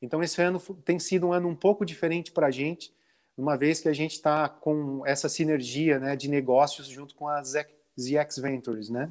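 A man with an ordinary speaking voice and a fairly high pitch talks at a moderate pace with fairly even intonation, on a very clean recording with a silent background. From Santa Catarina, southern Brazil. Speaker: brewery owner and author. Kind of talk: interview.

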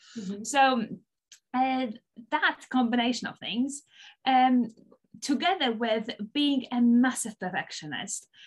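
A woman's high voice with a Polish accent, at a fairly slow pace, broken by long, frequent pauses. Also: ordinary pitch variation. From Poland. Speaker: binge eating coach. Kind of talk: interview.

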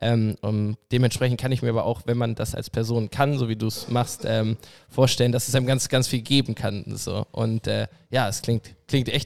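A man speaks at a medium pitch and moderate pace with monotone, flat intonation, the sound dry and close with no echo. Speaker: podcast co-host. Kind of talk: casual chat.

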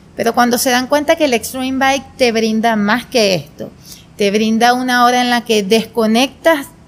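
A woman speaks with a plain, everyday voice. Her pitch is fairly high, and her pace is fairly slow. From Venezuela, Portuguesa state. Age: 20s. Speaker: spinning instructor and entrepreneur. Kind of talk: casual interview.

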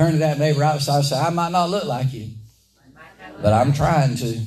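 Animated and lively in intonation, a man with a Southern US accent speaks at a fairly high pitch. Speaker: preacher. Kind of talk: sermon. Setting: church.

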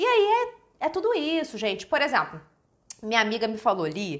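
Animated in tone, a woman talks at a moderate pace. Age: 30s. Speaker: author. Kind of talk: casual chat. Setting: livestream.

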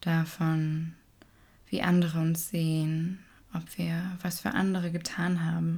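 Her voice is fairly low for a woman, somewhat breathy, with a dark, mellow tone. She sounds calm and soothing. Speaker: meditation teacher. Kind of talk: guided meditation, gentle and unhurried, addressing listener as "du". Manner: slow, soft-spoken, calm and soothing with long pauses.

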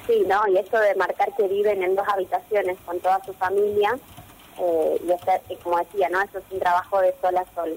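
Over noticeable background noise, a woman speaks at a moderate pace in a medium-pitched, monotone voice with flat intonation. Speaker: university gender researcher. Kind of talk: radio column segment.

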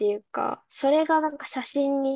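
A woman speaks at a fairly slow pace in a high voice, her tone dark and mellow. The sound is dry and close with no echo, and her pitch varies in an ordinary way. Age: 19. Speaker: university student, amateur photographer. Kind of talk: casual chat.

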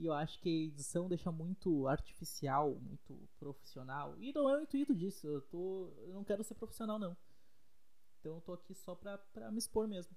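A man speaks in a high voice with lively intonation. His loudness swings widely. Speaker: podcaster. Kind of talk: casual monologue. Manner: fast.

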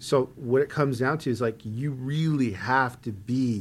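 At a fairly slow pace, a man talks in a medium pitch with ordinary variation, on a very clean recording with a silent background. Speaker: karaoke singer and voice actor. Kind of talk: casual interview chat. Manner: animated, jokey.

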